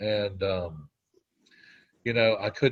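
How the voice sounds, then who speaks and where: Over a quiet background, a man speaks at a fairly low pitch. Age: 60s. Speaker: weight loss program member. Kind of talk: interview testimony. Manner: halting.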